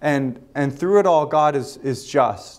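The man's voice shows ordinary pitch variation. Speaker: pastor. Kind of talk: sermon. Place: hall. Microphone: lapel.

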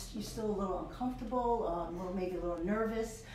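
Noticeable background noise and audible room echo around a woman's voice, its pitch varying in an ordinary way. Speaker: public health program director. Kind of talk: interview. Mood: warm, informative. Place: office.

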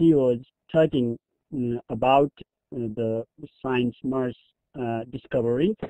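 A man with a Nepali accent at a very slow pace. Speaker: teacher. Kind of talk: webinar presentation. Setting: online webinar.

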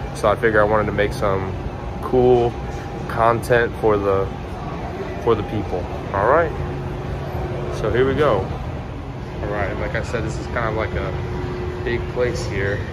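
Loud background noise surrounds a man speaking at a fairly slow pace. He uses ordinary pitch variation and long, frequent pauses. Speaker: vlogger. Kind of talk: casual vlog chat. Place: garage. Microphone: phone near.

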